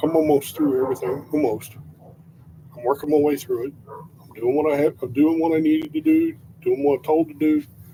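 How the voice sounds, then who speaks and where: Over noticeable background noise, a man speaks at a fairly quick pace with a fairly high pitch and fairly even intonation. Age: 60s. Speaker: vlogger. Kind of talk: casual monologue. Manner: halting.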